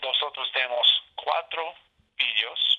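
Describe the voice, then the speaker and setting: Speaking very slowly, this man has an English accent. His words come out at an unhurried crawl. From Alaska. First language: English (speaking Spanish). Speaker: state senator. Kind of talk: interview. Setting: phone call. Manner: halting.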